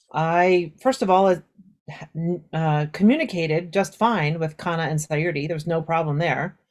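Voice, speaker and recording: A woman with a Southern California accent, fairly low in pitch, at a moderate pace with ordinary pitch variation. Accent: Southern California suburban American. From US West Coast, suburbs of Los Angeles. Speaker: Japanese teacher. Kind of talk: interview conversation. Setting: audio-only podcast recording. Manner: casual, with many fillers.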